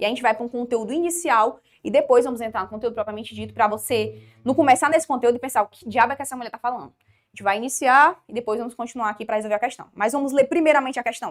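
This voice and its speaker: A woman's high voice at a very fast pace, with ordinary pitch variation and big swings in loudness. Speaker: law teacher for exam prep. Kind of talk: online lecture. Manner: informal, conversational.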